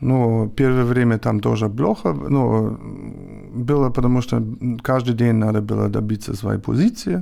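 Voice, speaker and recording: A man's dark, mellow tone at a fairly slow pace, with very even loudness. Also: medium pitch for a man, ordinary pitch variation. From northern Germany. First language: German (speaking Russian). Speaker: podcast guest. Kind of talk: casual conversation. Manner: halting, many fillers.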